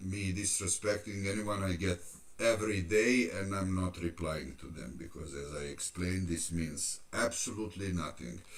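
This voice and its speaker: This man has a very deep, low pitch and speaks at a fairly slow pace. His loudness swings widely. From Serbia. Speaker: fitness youtuber. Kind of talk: live stream Q&A. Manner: halting.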